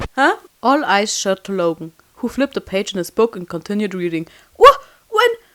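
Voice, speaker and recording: Speaking at a fairly quick pace, a woman with a non-native accent uses lively intonation at a medium pitch. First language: not English. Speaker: fan animator narrating and voicing a fanfiction. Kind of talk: read story narration with character dialogue. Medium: read story.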